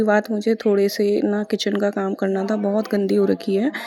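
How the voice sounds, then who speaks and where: A woman speaks at a moderate pace. Her voice sits at a medium pitch. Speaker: vlogger, mother. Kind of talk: vlog voice-over. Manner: casual, chatty.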